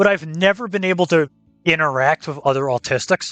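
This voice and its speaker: Loud and animated, a man speaks fast-ish at a fairly quick pace with a high pitch and lively intonation, in a dry, close sound with no echo and music in the background. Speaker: streamer hosting a talk show. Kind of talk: casual chat.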